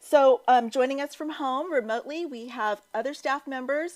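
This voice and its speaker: On a very clean recording with a silent background, a woman speaks at a high pitch and fairly slow pace with ordinary pitch variation. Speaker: charity staff member hosting fundraiser. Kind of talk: event hosting speech.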